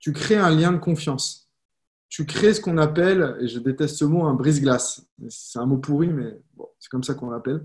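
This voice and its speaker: At a moderate pace, a man speaks in a fairly high, somewhat breathy voice with ordinary pitch variation. His loudness swings widely. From France, Lyon. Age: 30s. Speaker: network marketing coach. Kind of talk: live stream talk. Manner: casual, conversational.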